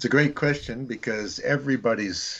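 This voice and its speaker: Someone with an American accent speaks at a moderate pace. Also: man. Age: 60s. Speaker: missions teacher and author. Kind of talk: podcast interview.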